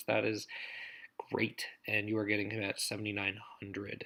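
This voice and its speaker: A man talks at a moderate pace and medium pitch. He has an ordinary speaking voice. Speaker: daily fantasy golf analyst. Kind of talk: solo breakdown video, casual analysis. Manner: casual with many fillers.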